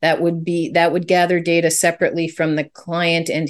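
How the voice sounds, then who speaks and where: A woman speaks at a moderate pace with a Canadian accent. Her pitch sits fairly low, and the background is quiet. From Canada. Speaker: business founder and consultant. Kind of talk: interview.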